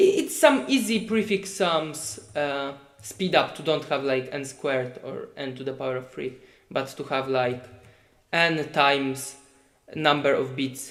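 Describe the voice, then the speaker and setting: Someone with a Polish accent speaks at a fairly slow pace with ordinary pitch variation. The loudness swings a lot, and room echo is audible. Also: man, fairly high pitch for a man. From Poland. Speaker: competitive programmer. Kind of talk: live stream tutorial. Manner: halting.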